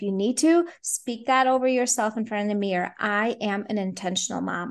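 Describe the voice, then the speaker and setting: A woman speaks in a normal speaking voice, pitched fairly high. Her pace is fairly quick against a quiet background. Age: 30s. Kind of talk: interview conversation.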